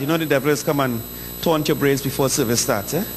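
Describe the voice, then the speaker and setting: Noticeable background noise runs under the clip. A man speaks with a Trinidadian accent. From Trinidad (south). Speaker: preacher. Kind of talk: sermon.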